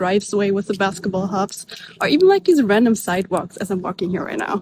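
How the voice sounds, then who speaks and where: Noticeable background noise sits behind the recording. A woman talks over it at a very fast pace. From Germany. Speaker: social media creator. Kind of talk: casual vlog. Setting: outdoors, walking in a suburb.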